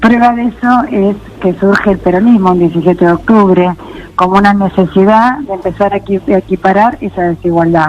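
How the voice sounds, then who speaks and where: Over noticeable background noise, a woman speaks at medium pitch and moderate pace with ordinary pitch variation. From Argentina. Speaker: local politician, architect. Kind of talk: interview.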